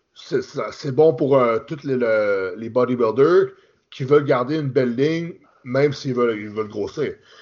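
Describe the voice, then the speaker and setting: A man with a plain, everyday voice speaks at a medium pitch and a moderate pace, with ordinary pitch variation and big swings in loudness. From Quebec. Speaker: professional bodybuilder. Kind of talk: casual interview.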